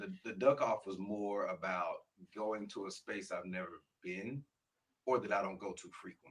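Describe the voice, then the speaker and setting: A man is speaking. His pace is moderate. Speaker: spoken word artist. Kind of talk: interview answer.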